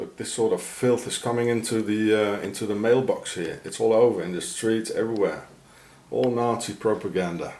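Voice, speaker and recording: A man of medium pitch talks at a moderate pace with fairly even intonation. The room echo is audible, and there is noticeable background noise. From South Africa. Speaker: video blogger. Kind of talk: walking vlog rant. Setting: outdoors. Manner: halting.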